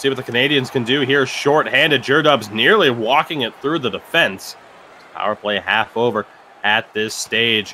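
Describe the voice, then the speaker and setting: A man with an unremarkable speaking voice, medium pitch and ordinary pitch variation, at a moderate pace. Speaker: esports play-by-play commentator. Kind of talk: live commentary.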